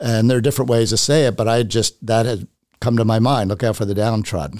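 With an American accent, a man speaks at a fairly low pitch in a dry, close sound with no echo. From US South family roots. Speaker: architect and property owner. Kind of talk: interview, personal testimony.

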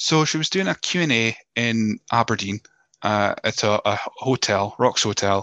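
The man's fairly low voice has a bright, sharp tone, heard in a dry, close sound with no echo. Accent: Scottish. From Scotland. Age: 30s. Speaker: podcast host. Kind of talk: casual interview chat. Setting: video call from home office. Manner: hesitant, repeats words.

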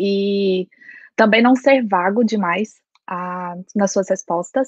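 At a very slow pace, a woman talks at a medium pitch in a dry, close sound with no echo. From Brazil, Goiás. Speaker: lawyer and master's student. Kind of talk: casual chat.

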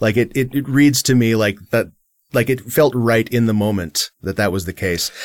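In an ordinary speaking voice, a man talks at medium pitch and a moderate pace with ordinary pitch variation. The recording is very clean, with a silent background. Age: 30s. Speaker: podcast co-host and game developer. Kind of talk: casual chat.

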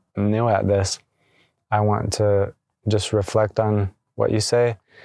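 Soft-spoken and very slow, a man speaks at a fairly low pitch in a monotone, flat intonation with a dark, mellow tone. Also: dry, close sound with no echo. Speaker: energy healer podcast host. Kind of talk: casual reflective conversation on healing.

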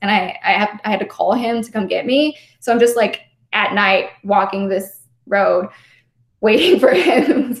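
With an American accent, a somewhat breathy woman speaks at a fairly slow pace using lively intonation. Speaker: former Jehovah's Witness. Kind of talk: interview.

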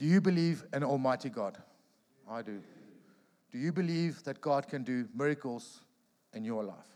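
A man with a dark, mellow tone uses lively intonation, broken by long, frequent pauses. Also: fairly high pitch for a man, moderate pace, very clean recording, silent background. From South Africa, Pretoria. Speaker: professional rugby player. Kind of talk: sermon; testimony. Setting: church.

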